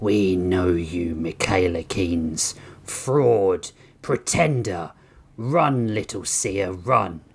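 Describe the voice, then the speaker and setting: A man's put-on character voice, very deep and low in pitch, growling and hissing at a very slow pace. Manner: menacing, taunting.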